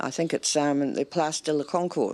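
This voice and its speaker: With a New Zealand accent, a woman speaks at a moderate pace in a very deep, low pitch, on a very clean recording with a silent background. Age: 70s. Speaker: rugby fan. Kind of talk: TV interview.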